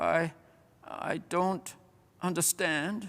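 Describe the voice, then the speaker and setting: A man mumbles in a put-on character voice that is high and guttural. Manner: mumbling, bewildered.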